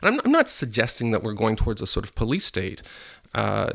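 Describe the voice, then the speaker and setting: A man with a Canadian accent talks at a very fast pace. His medium-pitched voice has vocal fry. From Quebec, Montreal. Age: 50s. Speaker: journalist and writer. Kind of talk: interview. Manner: halting, repeats words.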